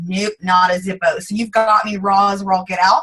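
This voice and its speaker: A woman talks in an animated tone. Her Southern US accent is strong. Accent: thick Southern US. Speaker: network marketing team leader. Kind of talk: motivational team call talk. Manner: fast.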